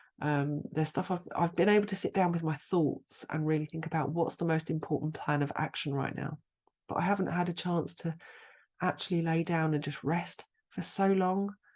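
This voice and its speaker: At a moderate pace, a woman with a British accent speaks in a fairly low pitch with fairly even intonation. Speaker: astrologer, podcast host. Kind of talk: casual podcast talk.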